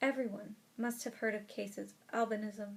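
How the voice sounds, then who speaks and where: A woman's somewhat breathy, fairly high voice at a moderate pace. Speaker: audiobook reader. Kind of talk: audiobook reading of a nonfiction book.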